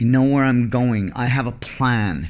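A man with medium pitch, an ordinary speaking voice, and ordinary pitch variation. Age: 40s. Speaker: solo podcaster living abroad. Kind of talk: personal monologue.

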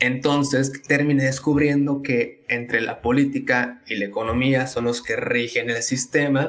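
Monotone, flat intonation runs through a man's speech. His pitch sits in the medium range. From Tabasco, Mexico. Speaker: economics student and content creator. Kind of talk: casual interview.

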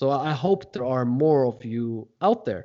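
A man talks in a Norwegian accent. His pace is fairly slow. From Norway. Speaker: podcast host. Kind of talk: interview.

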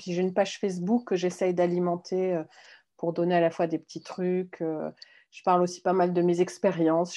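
Against a quiet background, a woman speaks at a moderate pace in a fairly low voice. Her tone is dark and mellow, her intonation monotone and flat. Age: 40s. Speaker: mindful eating instructor. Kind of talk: interview.

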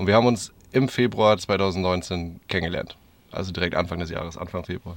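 At a fairly quick pace, a man with a very deep, low pitch talks with fairly even intonation. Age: 30s. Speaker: podcast host, van traveller. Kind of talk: casual chat. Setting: inside a camper van on a parking lot.

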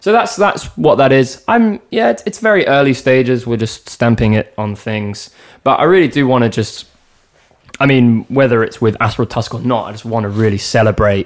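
A man in a London accent speaks at a moderate pace and medium pitch, with ordinary pitch variation. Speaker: drummer. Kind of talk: casual chat. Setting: in the host's home.

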